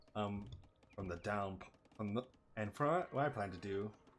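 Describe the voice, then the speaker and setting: The voice moves at a moderate pace with ordinary pitch variation. Music plays in the background. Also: man. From North America. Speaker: streamer. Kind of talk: live gameplay commentary.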